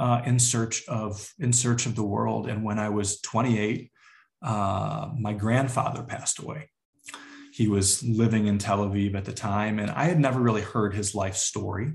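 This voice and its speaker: A man with an American accent speaks at a fairly low pitch in a somewhat breathy voice. His intonation is fairly even and his pace moderate. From Chicago area, US Midwest. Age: 30s. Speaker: community organizer. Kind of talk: interview conversation.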